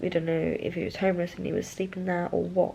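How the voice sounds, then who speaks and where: The voice is quiet and moves at a moderate pace. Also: woman. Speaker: vlogger. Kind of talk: casual vlog chat. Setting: holiday apartment room.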